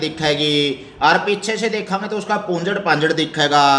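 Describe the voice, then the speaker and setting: A man's raised, projected voice with a Haryanvi accent, ordinary pitch variation, and noticeable background noise. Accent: rural Haryanvi dialect. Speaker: school teacher. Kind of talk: primary school lesson explained to children.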